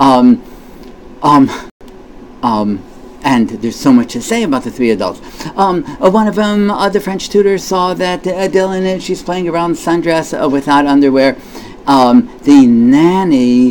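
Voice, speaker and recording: A man's fairly high voice with very wide pitch swings and long, frequent pauses, over noticeable background noise. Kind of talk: casual commentary to camera. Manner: halting, stammering, many fillers.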